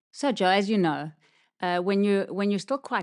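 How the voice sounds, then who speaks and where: Against a quiet background, a woman with a slight South African accent speaks at a fairly quick pace. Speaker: podcast co-host, physiotherapist. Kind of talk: casual chat.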